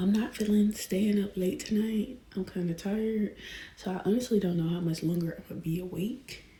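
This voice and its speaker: Whispering at a fairly quick pace, a woman sounds somewhat breathy. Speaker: book vlogger. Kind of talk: casual vlog chat.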